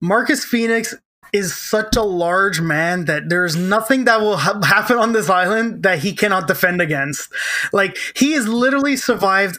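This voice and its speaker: The voice is raised and projected. Its intonation is lively. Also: man. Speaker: podcast host. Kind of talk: casual banter, comedy podcast.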